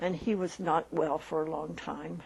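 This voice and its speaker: Fairly low in pitch and marked by vocal fry, a woman talks with an American accent. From Philadelphia, Pennsylvania, US. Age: 80s+. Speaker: retired nurse. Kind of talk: life-story interview. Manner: halting, hesitant.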